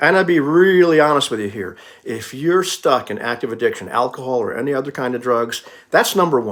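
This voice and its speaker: This man talks at a fairly quick pace in a fairly high pitch, his voice making very wide pitch swings. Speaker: YouTuber giving life advice. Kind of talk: casual monologue. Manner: casual, conversational.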